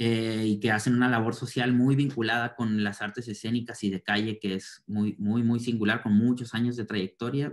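A man with a plain, everyday voice and medium pitch talks at a moderate pace. The background is quiet. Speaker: cultural project expert. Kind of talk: reflective summary in online panel. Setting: video call. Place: home room. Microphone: video call.

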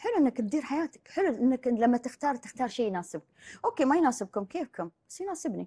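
Fairly quick and high-pitched, a woman speaks with a dark, mellow tone and very wide pitch swings. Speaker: life coach. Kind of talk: casual interview chat. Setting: studio. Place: studio.

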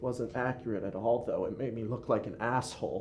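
A man speaks at a moderate pace in a somewhat breathy voice with a dark, mellow tone. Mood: calm, serious, explaining. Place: hall.

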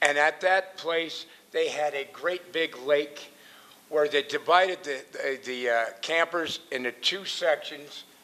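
A very slow delivery with an American accent over noticeable background noise. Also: man, fairly high pitch for a man, ordinary pitch variation. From Northern California, US. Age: 60s. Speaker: member of the public speaking at hearing. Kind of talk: public comment at council meeting.

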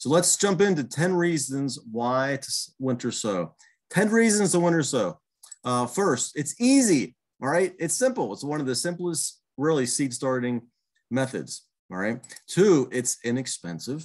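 Against a quiet background, the speaker moves at a fairly slow pace with very wide pitch swings. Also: man. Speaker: presenter. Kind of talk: webinar lecture. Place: home room. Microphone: webcam.

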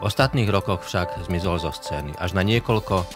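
A man speaks at a moderate pace. Clear music plays behind him. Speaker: podcast host. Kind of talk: interview questions. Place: studio. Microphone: studio mic.

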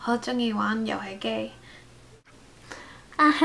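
A woman speaks with an American accent at a fairly high pitch. Her pace is very slow. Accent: American accent in Cantonese. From United States. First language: English (speaking Chinese). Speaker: vlogger. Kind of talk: casual vlog talk. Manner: halting. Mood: cheerful, smiling. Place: home room.

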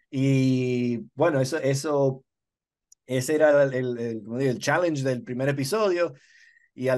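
Fairly even intonation at a fairly slow pace against a quiet background. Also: man. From Dominican Republic. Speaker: TV director. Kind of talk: interview. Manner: halting, many fillers. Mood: relaxed, friendly. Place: home room. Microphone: video call.

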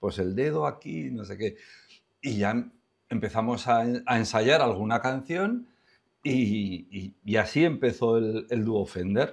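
A man's medium-pitched voice moves very slowly with ordinary pitch variation. The background is quiet. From Spain, La Rioja (Logroño); La Rioja, Spain. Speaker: songwriter and singer; interviewee. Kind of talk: interview. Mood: warm, amused storytelling. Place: studio. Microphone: lapel.

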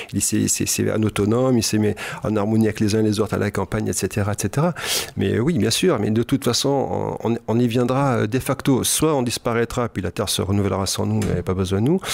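With an ordinary speaking voice, a man speaks at a moderate pace in a fairly low pitch, with ordinary pitch variation and very even loudness. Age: 60s. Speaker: hypnotherapist and psychoanalyst. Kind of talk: radio interview. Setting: radio studio.

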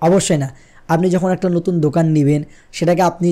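The tone is dark and mellow against a quiet background. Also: man. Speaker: tech YouTuber. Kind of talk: tutorial. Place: studio. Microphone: studio mic.

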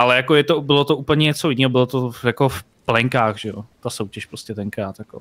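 A man's moderately paced talk, with ordinary shifts in pitch, comes over a quiet background. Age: 30s. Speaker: streamer. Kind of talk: casual chat. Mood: relaxed, anecdotal. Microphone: headset.

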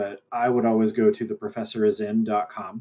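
A man's unremarkable speaking voice, medium in pitch, with fairly even intonation and a moderate pace. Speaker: university professor. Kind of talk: panel Q&A. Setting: video call. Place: home room. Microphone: earbuds.

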